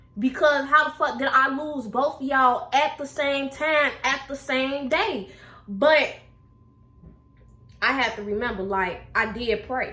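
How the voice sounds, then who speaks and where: Raising and projecting her voice, a woman speaks at a high pitch and a fairly slow pace. Her pitch variation is ordinary. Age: 20s. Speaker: YouTuber. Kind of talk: casual chat. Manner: animated.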